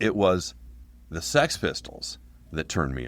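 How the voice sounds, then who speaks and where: A man's voice with vocal fry and ordinary pitch variation, at a moderate pace. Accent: American. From Portland, Oregon. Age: 60s. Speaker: punk band singer. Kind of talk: casual interview.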